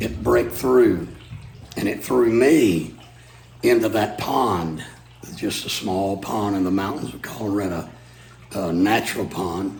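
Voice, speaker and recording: Pausing long and often, a man talks at a fairly slow pace with audible room echo. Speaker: preacher. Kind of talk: storytelling. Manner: halting with fillers.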